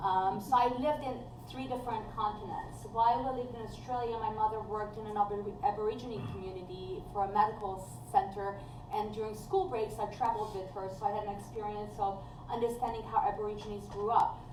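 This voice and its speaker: Audible room echo and noticeable background noise surround a woman speaking at a fairly quick pace. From Hungary. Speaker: judicial candidate, workers' compensation judge. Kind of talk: candidate forum answers.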